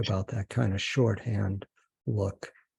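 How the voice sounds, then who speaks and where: A man speaks at a fairly slow pace in an American accent. His voice is somewhat breathy with a dark, mellow tone. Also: quiet background. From Boston. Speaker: interviewer. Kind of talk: interview.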